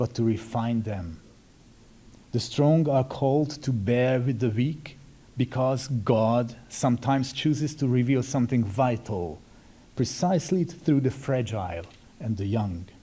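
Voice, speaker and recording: A man with a Hungarian accent talks at a fairly slow pace and a medium pitch, with ordinary pitch variation. His tone is dark and mellow, and somewhat breathy. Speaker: Benedictine monk. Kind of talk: formal speech. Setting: symposium audience.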